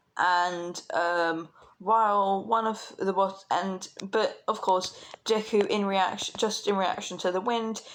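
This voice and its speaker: In a British accent, the speaker goes at a very slow pace on a very clean recording with a silent background. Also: woman. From Britain. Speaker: fan fiction storyteller. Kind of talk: improvised storytelling. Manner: hesitant, many fillers.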